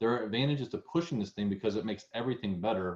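A man talks at a fairly low pitch. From US South. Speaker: podcast host. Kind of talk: interview wrap-up, casual conversation.

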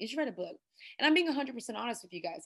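Animated and bright, sharp in tone, a woman with an American accent swings her pitch very widely. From Texas, Houston. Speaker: pastor and speaker. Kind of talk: interview testimony.

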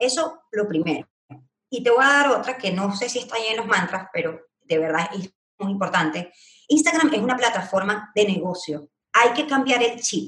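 Delivery is at a moderate speed. Wide, sweeping pitch changes mark every phrase. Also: woman, fairly high pitch for a woman. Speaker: Instagram marketing strategist. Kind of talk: casual interview chat. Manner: loud, animated.

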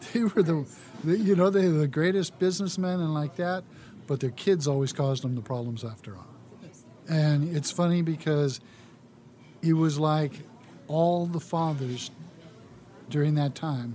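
Talking at a moderate pace with long, frequent pauses, a man with an American accent has a fairly high pitch, ordinary pitch variation, a dark, mellow tone and a somewhat breathy quality. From US West, California (San Leandro area). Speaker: former city council member. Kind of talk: interview.

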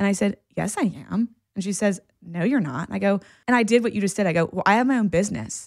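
A woman talks at a very fast pace with vocal fry. Her pitch is medium, with ordinary variation. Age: 30s. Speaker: licensed therapist. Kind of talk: casual chat.

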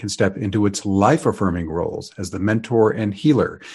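A plain, everyday voice speaks at a moderate pace with ordinary pitch variation over a quiet background. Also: man. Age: 60s. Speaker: astrologer podcast host. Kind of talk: scripted forecast narration.

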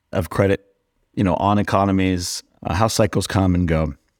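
A man's very deep, low-pitched voice comes through on a very clean recording where the background is silent. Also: dry, close sound with no echo. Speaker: co-host and options trader. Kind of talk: debate.

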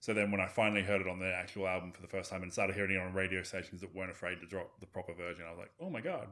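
A man with an Australian accent, very deep and low in pitch, very fast with hardly any pauses, monotone and flat in intonation, with big swings in loudness. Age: 40s. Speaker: podcast host. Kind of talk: casual chat.

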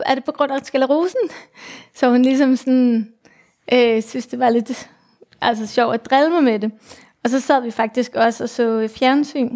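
A high-pitched woman speaks at a fairly slow pace, leaving long, frequent pauses. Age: 40s. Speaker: mother with multiple sclerosis. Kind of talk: personal testimony interview. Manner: halting, many fillers.

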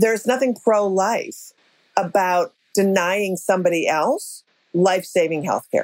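The speaker has an American accent and a fairly slow pace. Loudness stays very even, with ordinary pitch variation. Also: woman, medium pitch for a woman. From Minnesota (Minneapolis). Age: 60s. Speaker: comedian and activist. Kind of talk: casual interview chat. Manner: animated.

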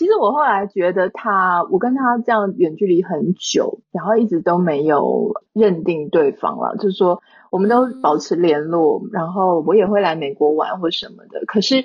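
At a moderate pace, a woman talks in a normal speaking voice with medium pitch and ordinary pitch variation. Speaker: online content creator. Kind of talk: casual interview.

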